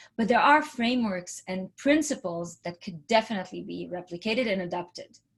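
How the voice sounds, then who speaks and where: Somewhat breathy and medium in pitch, a woman speaks fairly quickly with an Israeli accent. The recording is very clean, with a silent background. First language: Hebrew. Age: 40s. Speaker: entrepreneurship speaker. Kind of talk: presentation.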